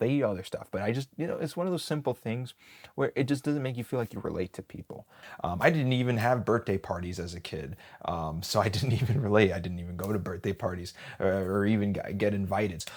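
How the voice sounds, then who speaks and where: Talking at a very fast pace, a man uses lively intonation. His voice is fairly low-pitched, with an American accent. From Wisconsin, US Midwest. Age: 20s. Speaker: job seeker. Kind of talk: personal monologue.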